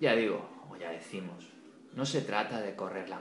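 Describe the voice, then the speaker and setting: Noticeable background noise and audible room echo accompany this man. His pitch sits fairly low, with ordinary pitch variation. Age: 40s. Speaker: podcast host. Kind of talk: casual chat. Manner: animated.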